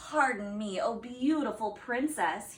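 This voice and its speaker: A woman speaks fairly slowly in a put-on character voice. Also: fairly high pitch for a woman. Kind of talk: politely begging. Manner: sad, pathetic.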